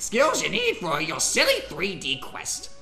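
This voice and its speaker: Fairly slow delivery in a put-on character voice, clear music playing behind it. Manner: grumpy, gruff.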